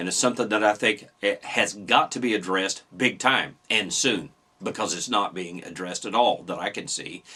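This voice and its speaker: A man talks at a fairly quick pace with an American accent and a fairly low pitch. His tone is bright and sharp, with ordinary pitch variation. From Indiana. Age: 60s. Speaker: political commentator. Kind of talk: opinion monologue. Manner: animated.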